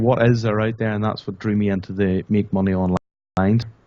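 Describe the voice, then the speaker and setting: A man speaks with a Northern Irish accent. His intonation stays fairly even at a moderate pace. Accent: Northern Irish, noticeable. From Northern Ireland. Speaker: internet marketer, product creator. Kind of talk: interview.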